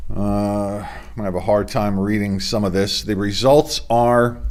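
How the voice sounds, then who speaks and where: Audible room echo follows a man who talks at a fairly slow tempo. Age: 60s. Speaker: sports show host. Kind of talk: sports news report. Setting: home studio. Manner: casual.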